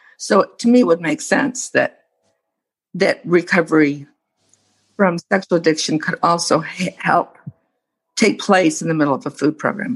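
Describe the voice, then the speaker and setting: The speaker has an American accent and a somewhat breathy voice. The pace is fairly slow, with long, frequent pauses. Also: woman, fairly low pitch for a woman. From United States. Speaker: meeting participant. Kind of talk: casual chat. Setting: video call.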